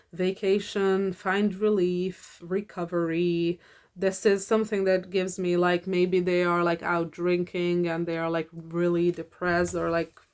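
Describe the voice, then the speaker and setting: A woman's fairly low, flat, monotone voice with a non-native accent, at a fairly slow pace. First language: not English. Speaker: tarot reader. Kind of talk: tarot reading monologue. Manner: halting, many fillers.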